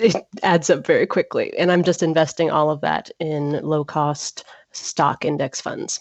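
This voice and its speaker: Slow-paced and fairly even in intonation, a woman talks with an American accent. Her pitch is very deep and low. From US South, Atlanta, Georgia. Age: 20s. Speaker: personal finance blogger. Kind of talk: interview.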